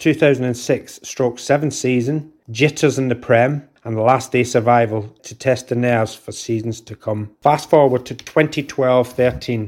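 A man with a Scottish accent talks at a moderate pace and medium pitch, with fairly even intonation and hardly any pauses. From Scotland, near Glasgow. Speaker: football fan, army veteran. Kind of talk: personal story read aloud.

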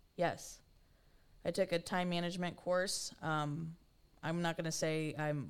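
With an American accent, a woman speaks at a moderate pace in a monotone, flat intonation. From Kansas City, US Midwest. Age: 20s. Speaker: podcast host. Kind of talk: solo monologue podcast.

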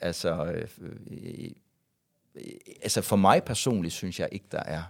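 A man talks fairly slowly, recorded very cleanly with a silent background. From West Jutland, Denmark (Varde area). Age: 40s. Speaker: YouTuber and former radio host. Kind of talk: casual interview. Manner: halting, many fillers and repetitions.

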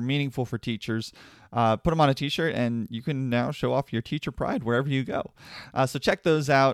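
In a very clean recording with a silent background and a dry, close sound with no echo, a man talks at a medium pitch with ordinary pitch variation. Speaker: podcast host. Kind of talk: casual interview. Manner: animated, enthusiastic.

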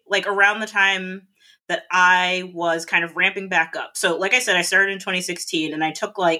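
A woman's bright, sharp voice with an American accent, medium in pitch with ordinary pitch variation, at a moderate pace, in a very clean recording with a silent background. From South Florida. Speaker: stand-up comedian. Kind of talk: casual chat.

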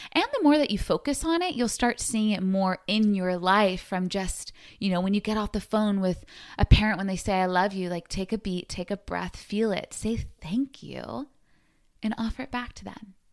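An animated woman's voice at medium pitch and moderate pace, with ordinary pitch variation, in a very clean recording against a silent background. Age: 30s. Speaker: podcast host. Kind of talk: casual solo monologue. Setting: sitting on bed at home.

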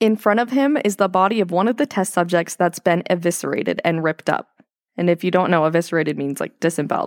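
In a very clean recording with a silent background and a dry, close sound with no echo, a woman with a fairly low pitch talks at a very fast pace with lively intonation. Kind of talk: casual chat.

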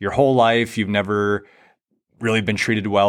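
This is a man speaking. His pitch is fairly low. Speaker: podcast host. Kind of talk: interview, podcast host. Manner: upbeat, enthusiastic.

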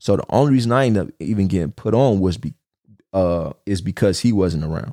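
A man with a Los Angeles accent, fairly low-pitched, in a dark, mellow tone with lively intonation at a fairly quick pace, on a very clean recording with a silent background and a dry, close sound with no echo. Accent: Los Angeles, slight East Coast tinge. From Los Angeles, California. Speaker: podcast host. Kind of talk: casual monologue, personal storytelling. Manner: casual, conversational, slangy.

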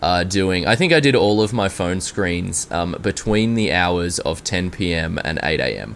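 Speaking with an Australian accent, a man has a very deep, low voice with ordinary pitch variation. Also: fairly slow pace. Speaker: software engineer. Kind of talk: interview.

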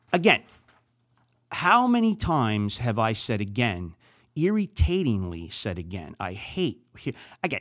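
In a very clean recording with a silent background, a man of medium pitch speaks with a New Jersey accent and very wide pitch swings. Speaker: podcast host. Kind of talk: solo podcast monologue, casual.

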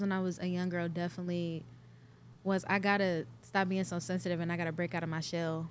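This woman has an American accent and an unremarkable speaking voice. She talks at a fairly quick pace with a fairly low pitch. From US Midwest, Cleveland, Ohio. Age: 20s. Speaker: R&B singer. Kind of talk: casual interview.

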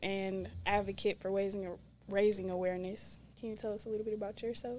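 At a moderate pace, a woman is talking. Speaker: podcast host. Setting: studio. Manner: loud, laughing.

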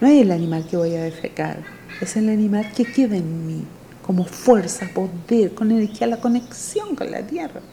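Noticeable background noise sits behind a voice with lively intonation at a moderate pace. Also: woman, medium pitch for a woman. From Chile, rural Temuco (Mapuche). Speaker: traditional midwife and healer. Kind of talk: interview testimony.

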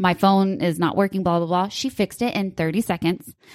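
A woman with a normal speaking voice talks at a fairly quick pace and medium pitch, her intonation fairly even, in a dry, close sound with no echo on a very clean recording with a silent background. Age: 30s. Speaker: podcast co-host and online boutique owner. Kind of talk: casual chat.

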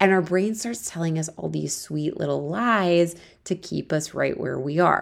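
With a Midwestern American accent, a woman speaks at a fairly slow pace in an animated tone on a very clean recording with a silent background. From US Midwest, Akron, Ohio. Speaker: life coach and podcast host. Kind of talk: solo podcast monologue. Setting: friend's apartment, mobile recording.

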